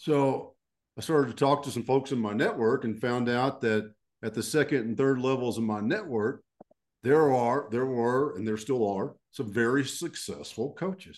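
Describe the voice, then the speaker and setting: Speaking with a Texan accent, a man uses a medium pitch and ordinary pitch variation. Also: moderate pace. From Texas. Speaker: leadership coach and retired army officer. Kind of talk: interview.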